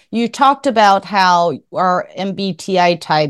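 A woman with a Taiwanese accent makes very wide pitch swings. The recording is very clean, dry and close, with no echo and a silent background. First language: Mandarin. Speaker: podcast host, MBTI content creator. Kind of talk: interview.

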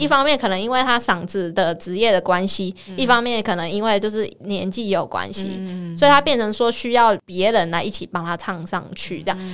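Over noticeable background noise, a woman speaks at a fairly quick pace in a medium pitch with ordinary pitch variation. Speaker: podcast host. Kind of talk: casual chat.

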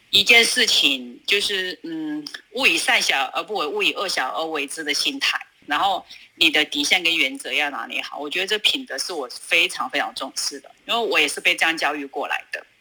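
Over noticeable background noise, a woman with a fairly low pitch speaks at a moderate pace, her loudness swinging widely. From China, Sichuan (Luzhou). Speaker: food business owner. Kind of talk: interview.

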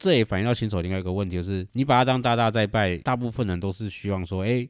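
A man speaks at a very fast pace in a Taiwanese accent, with ordinary pitch variation. The recording is very clean, and the background is silent. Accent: Taiwanese Mandarin. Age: 40s. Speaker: podcast host and investor. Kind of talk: casual monologue.

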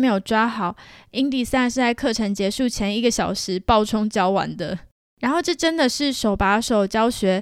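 In a very clean recording with a silent background, a woman with a Taiwanese accent speaks at a fairly high pitch with ordinary pitch variation. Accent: Taiwanese Mandarin. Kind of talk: solo podcast monologue. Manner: casual, chatty.

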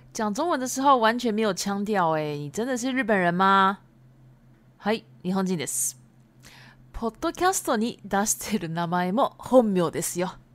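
A woman at a fairly slow pace and medium pitch, with very wide pitch swings, on a very clean recording with a silent background. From Japan. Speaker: Japanese language teacher podcaster. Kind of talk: bilingual teaching podcast. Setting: home recording.

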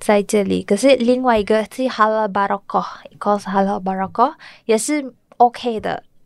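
The woman's intonation stays fairly even as she talks. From Malaysia, Kuala Lumpur. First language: Malay (speaking Chinese). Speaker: restaurant owner. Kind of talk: interview. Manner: halting, hesitant.

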